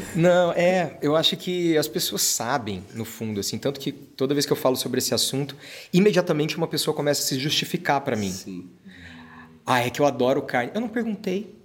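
His pitch swings very widely as a fairly high-voiced man talks at a fairly quick pace. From Brazil, interior of Paraná. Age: 30s. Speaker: actor and singer. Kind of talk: casual chat.

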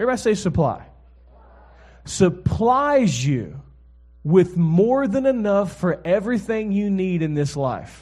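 A man with a high pitch, an animated, relaxed tone and lively intonation, speaking at a fairly slow pace with long, frequent pauses. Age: 40s. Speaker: guest preacher, pastor and author. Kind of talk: sermon to a live congregation, preacher with call-and-response. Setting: church stage with audience. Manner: animated, conversational, relaxed, exhorting, with frequent 'amen?' prompts; warm, humorous, fluent but with repeated restarts.

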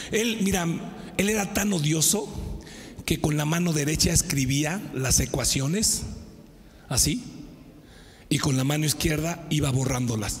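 In a Mexican accent, a man with a fairly high pitch speaks fairly slowly, with long, frequent pauses and very even loudness. His tone is animated, his intonation lively, and the room echo is audible. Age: 50s. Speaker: pastor. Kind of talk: sermon.

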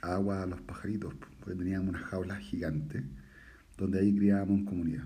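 A dark, mellow tone in a Chilean accent is heard with audible room echo. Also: man. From Chile, Santiago area. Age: 40s. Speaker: bird breeder podcaster. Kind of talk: casual monologue.

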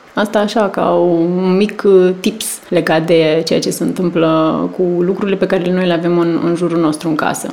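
A woman's flat, monotone voice at a moderate pace against noticeable background noise. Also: fairly low pitch for a woman. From Romania, small town in a wine region. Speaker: PR and marketing manager. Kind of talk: casual interview.

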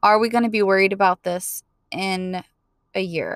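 A woman's normal speaking voice at medium pitch, with fairly even intonation, dry and close with no echo. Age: 20s. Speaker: podcast host and relationship coach. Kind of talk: solo podcast monologue. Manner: casual, frequent laughs and fillers.

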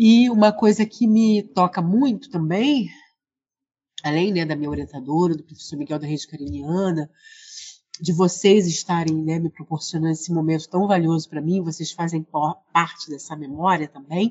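Her voice is somewhat breathy, pitched fairly low for a woman. She keeps a moderate pace and ordinary pitch variation. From Rio de Janeiro, Brazil. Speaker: librarian and researcher. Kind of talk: interview.

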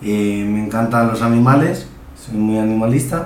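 A man talks at medium pitch and a fairly slow pace, with ordinary pitch variation. The recording carries audible room echo and noticeable background noise. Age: 20s. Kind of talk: interview. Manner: halting.

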